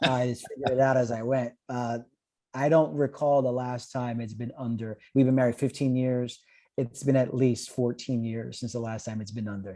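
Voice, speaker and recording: This man, with a New York accent, has a medium pitch, a dark, mellow tone and fairly even intonation, and he speaks at a moderate pace. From US Northeast, Brooklyn, New York. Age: 40s. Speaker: pastor. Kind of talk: interview.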